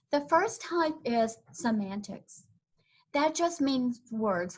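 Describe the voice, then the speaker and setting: A somewhat breathy voice with a Southern US accent and lively intonation. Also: woman. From US South, Tennessee. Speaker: corporate trainer. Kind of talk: webinar presentation. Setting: online webinar.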